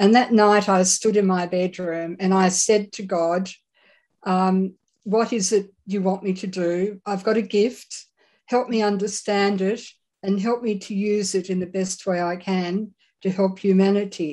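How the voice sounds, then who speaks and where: In an Australian accent, a woman talks at a fairly slow pace with monotone, flat intonation. Her medium-pitched voice has a dark, mellow tone. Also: quiet background. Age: 70s. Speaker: psychic medium. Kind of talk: interview.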